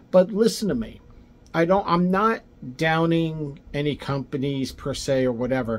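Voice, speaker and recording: His intonation is lively. The man's pace is fairly slow. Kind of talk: casual explainer to camera. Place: home room. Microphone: phone near.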